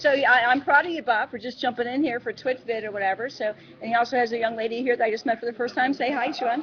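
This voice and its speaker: The delivery is energetic and very fast, with hardly any pauses. Noticeable background noise can be heard. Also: woman, high pitch for a woman. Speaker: video blogger. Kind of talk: casual interview. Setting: event luncheon.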